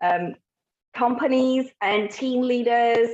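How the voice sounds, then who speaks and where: The speaker has an unremarkable speaking voice with ordinary pitch variation. The sound is dry and close, with no echo. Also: woman. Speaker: psychologist and gestalt therapist. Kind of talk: talk to an online group.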